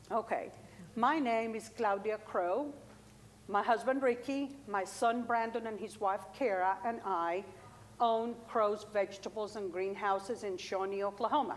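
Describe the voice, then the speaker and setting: A fairly high-pitched woman with a Colombian accent, at a fairly slow pace with ordinary pitch variation. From Colombia, Bogota. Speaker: farmer. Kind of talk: workshop talk.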